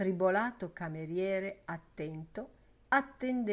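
The intonation is lively as the text is read aloud plainly.

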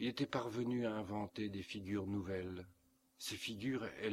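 This is an unforced reading voice. Nothing about it sounds pushed.

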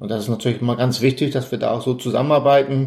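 A man's somewhat breathy, medium-pitched voice at a very fast pace. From northern Germany (Elmshorn, Schleswig-Holstein). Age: 50s. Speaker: Red Cross volunteer. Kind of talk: interview.

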